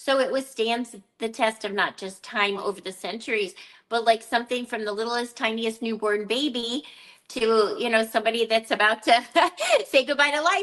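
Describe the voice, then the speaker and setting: A woman with an ordinary speaking voice, ordinary pitch variation and a moderate pace. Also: fairly high pitch for a woman. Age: 60s. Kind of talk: casual chat. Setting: live video stream.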